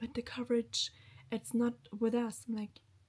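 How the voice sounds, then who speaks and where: A woman's somewhat breathy voice at a fairly high pitch, at a fairly slow pace. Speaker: lifestyle vlogger. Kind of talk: casual vlog talk to camera.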